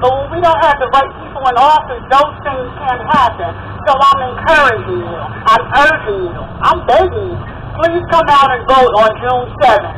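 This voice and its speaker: A high-pitched woman at a moderate pace, with audible room echo and noticeable background noise. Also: ordinary pitch variation. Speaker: city councilwoman. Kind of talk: rally speech. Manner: soft-spoken.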